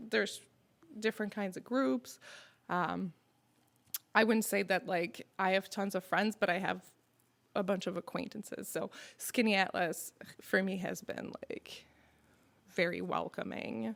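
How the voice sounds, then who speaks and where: A woman with vocal fry at medium pitch, ordinary pitch variation, a fairly slow pace and long, frequent pauses. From Quebec, Montreal. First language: French. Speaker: restaurant owner. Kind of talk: casual chat. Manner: searching for words at times.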